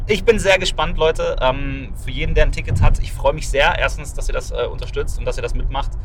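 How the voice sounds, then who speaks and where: A man at a fairly quick pace with hardly any pauses, plus audible room echo and noticeable background noise. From Ruhr area, Germany. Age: 30s. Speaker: magician and podcast host. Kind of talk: casual chat. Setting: in a car. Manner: animated.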